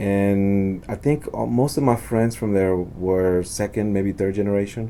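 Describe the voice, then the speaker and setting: A man speaks with a very deep, low pitch and a dark, mellow tone. His pace is fairly slow, and his pitch moves in an ordinary way. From Texas, Fort Worth north side; born in Honduras. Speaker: architecture professor. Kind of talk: interview. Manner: halting, many fillers and restarts.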